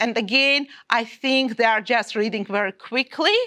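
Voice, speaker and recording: A woman's fairly high, bright, sharp voice with an Armenian accent and ordinary pitch variation, in a dry, close sound with no echo. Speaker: maths teacher. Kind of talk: teacher training session. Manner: halting.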